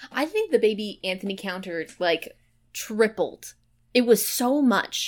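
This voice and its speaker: The speaker uses a plain, everyday voice at a fairly slow pace. The intonation is lively. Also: woman, fairly high pitch for a woman. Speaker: podcast co-host. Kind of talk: casual chat.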